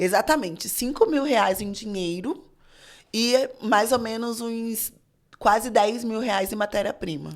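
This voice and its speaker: In a very clean recording with a silent background, a woman speaks at a fairly high pitch and fairly slow pace, with ordinary pitch variation and long, frequent pauses. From Rio de Janeiro, Brazil. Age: 30s. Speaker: fashion designer and teacher. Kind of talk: casual interview chat.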